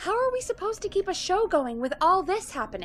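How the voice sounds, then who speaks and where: In a put-on, squeaky character voice, a woman speaks very fast at an extremely high pitch with very wide pitch swings. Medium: video game.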